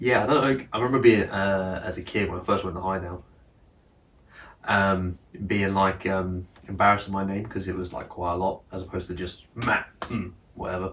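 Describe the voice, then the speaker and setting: At a moderate pace, a man speaks with fairly even intonation in a very deep, low pitch. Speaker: podcast host. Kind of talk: casual chat.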